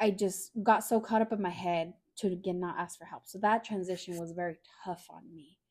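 A woman with a plain, everyday voice, medium pitch and fairly even intonation speaks at a fairly quick pace, her loudness swinging widely, in a very clean recording with a silent background. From California Central Valley, Fresno. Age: 20s. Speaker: roommate of host. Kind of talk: casual chat.

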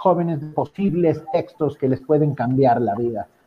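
At a fairly slow pace, a man with an ordinary speaking voice talks with ordinary pitch variation. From Mexico. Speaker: writer and radio director. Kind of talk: panel discussion.

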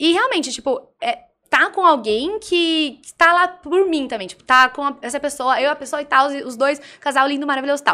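A woman's high, raised and projected voice has a bright, sharp tone and big swings in loudness. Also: ordinary pitch variation, moderate pace. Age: 20s. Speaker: political blogger. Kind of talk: casual chat. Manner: animated.

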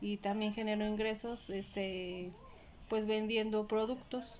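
A woman speaks at a very slow pace, her fairly high voice in a monotone, flat intonation. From Mexico, Puebla. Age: 30s. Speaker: homemaker. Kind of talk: interview. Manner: halting.

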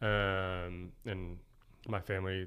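A man's very deep, low voice in an American accent, with fairly even intonation. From Oklahoma City. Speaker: chef and restaurateur. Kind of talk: casual interview.

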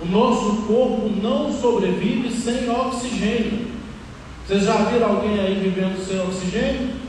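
A man's high-pitched voice with fairly even intonation, audible room echo and noticeable background noise. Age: 30s. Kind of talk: sermon. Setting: church with congregation.

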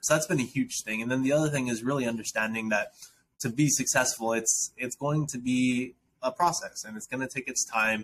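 A man with an American accent has an unremarkable speaking voice at a medium pitch. He moves at a fairly quick pace with ordinary pitch variation. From South Dakota, US. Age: 20s. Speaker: founder and nonprofit director. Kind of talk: interview conversation. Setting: remote call.

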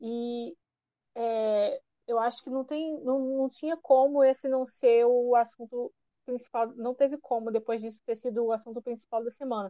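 A woman speaks at a high pitch in a dark, mellow tone, keeping a moderate pace and fairly even intonation. The sound is dry and close, with no echo. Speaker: podcast co-host. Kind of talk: casual chat.

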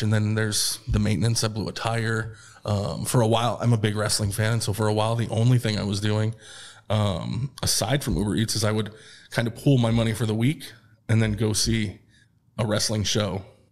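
In an American accent, a man with a fairly low pitch speaks at a moderate pace in a monotone, flat intonation. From upstate New York. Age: 30s. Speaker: unemployed former tech program manager. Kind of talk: personal interview testimony. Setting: studio on camera.

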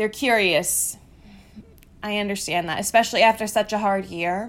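In a plain, everyday voice, a woman speaks at medium pitch and a moderate pace with ordinary pitch variation. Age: 20s. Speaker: podcast host. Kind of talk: personal monologue. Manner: casual.

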